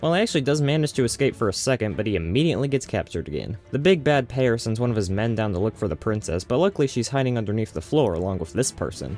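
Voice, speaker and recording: A man speaking at a very fast pace with hardly any pauses, dry sound with no echo, faint music in the background. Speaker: movie reviewer. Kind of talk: comedic review commentary. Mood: dry sarcastic humor.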